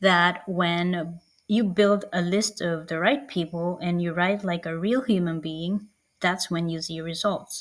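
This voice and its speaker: Speaking fairly slowly with a non-native accent, a woman has a fairly low pitch and ordinary pitch variation. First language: not English. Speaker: marketing coach. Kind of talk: online workshop. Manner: casual with filler words.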